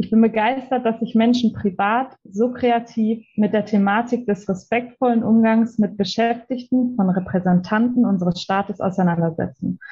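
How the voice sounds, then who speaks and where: A woman with a dark, mellow, somewhat breathy tone speaks at a moderate pace with very even loudness and fairly even intonation. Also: fairly high pitch for a woman, hardly any pauses. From Germany, Ruhr area (Witten). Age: 20s. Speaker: police officer. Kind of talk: interview.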